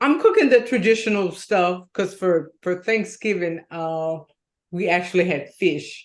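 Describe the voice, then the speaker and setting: With a plain, everyday voice, a woman speaks at a medium pitch and fairly slow pace, with ordinary pitch variation against a quiet background. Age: 60s. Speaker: co-host. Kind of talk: casual chat.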